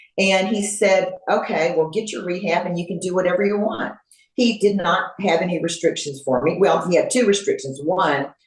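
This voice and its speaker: With a Texan accent, a woman speaks at medium pitch. Her pace is moderate, and her pitch varies in an ordinary way. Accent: Texan American English. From Texas, Houston. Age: 70s. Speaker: fitness competitor. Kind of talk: interview. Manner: halting, many fillers.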